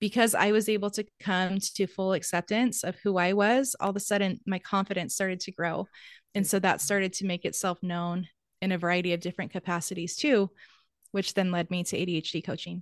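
A woman with a plain, everyday voice talks at a fairly quick pace, with medium pitch and fairly even intonation. The sound is dry and close with no echo, over a quiet background. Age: 30s. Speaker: ADHD coach. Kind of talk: interview. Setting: video call.

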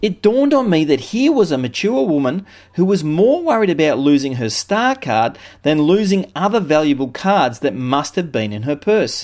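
In an Australian accent, a man speaks at a moderate pace with a fairly high pitch and very wide pitch swings. The background is quiet. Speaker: business consultant. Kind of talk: scripted narration.

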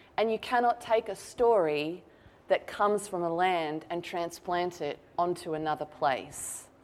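A woman with an Australian accent, fairly low in pitch, at a fairly slow pace on a very clean recording with a silent background. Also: ordinary pitch variation. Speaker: novelist. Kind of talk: author talk. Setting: stage with audience. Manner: animated.

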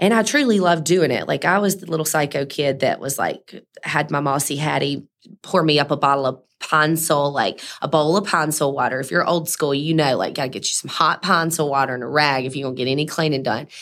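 A woman with a Mississippi accent speaks at a very fast pace. Her pitch is very deep and low, with ordinary pitch variation. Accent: Southern US (Mississippi). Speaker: cleaning business owner. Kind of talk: interview. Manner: animated.

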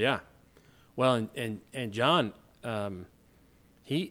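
A man's medium-pitched voice with an American accent and ordinary pitch variation, on a very clean recording with a silent background. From US South, Hot Springs, Arkansas. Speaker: co-host, men's group leader. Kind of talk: casual discussion on faith.

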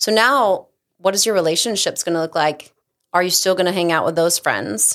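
Here is a woman with an ordinary speaking voice at medium pitch. She speaks at a moderate pace with lively intonation. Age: 40s. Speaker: creative brand manager at a financial advisory firm. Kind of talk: casual chat.

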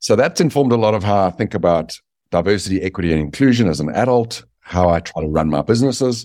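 A man speaks at a very fast pace in a fairly low voice with a South African accent. The recording is very clean, with a silent background. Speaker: business author. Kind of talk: interview.

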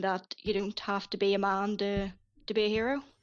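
With a Northern Irish accent, a woman speaks at a moderate pace in a medium pitch. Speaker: writer and Disney film enthusiast. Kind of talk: casual chat. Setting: Skype call.

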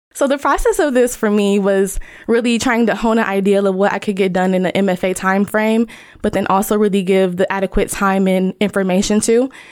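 A woman speaks at a fairly quick pace in a plain, everyday voice. Her pitch is medium. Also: fairly even intonation. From Ohio, US Midwest. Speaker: design researcher and author. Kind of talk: podcast interview.

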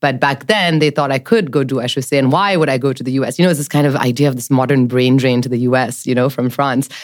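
In a French accent, a woman talks very fast with hardly any pauses. Her pitch is very deep and low, with ordinary pitch variation. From mixed: Jakarta, Tokyo, New York, Paris. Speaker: venture capital investor. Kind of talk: interview chat.

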